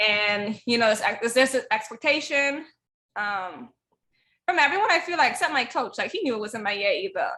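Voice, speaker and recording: Speaking at a fairly quick pace, a woman has a high pitch and a bright, sharp tone. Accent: Bahamian. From Bahamas (Eleuthera). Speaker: track athlete and life coach. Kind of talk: casual interview chat.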